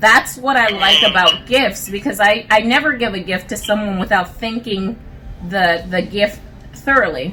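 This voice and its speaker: A woman speaks at a medium pitch and moderate pace, with ordinary pitch variation, over noticeable background noise. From Puerto Rico. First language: Spanish. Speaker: married couple guest. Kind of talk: casual interview. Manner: halting.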